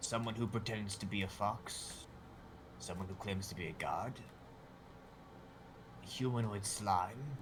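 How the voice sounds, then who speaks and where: A man's put-on character voice, fairly low in pitch, at a moderate pace with long, frequent pauses over clear background noise. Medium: actual play. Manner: dry, sardonic.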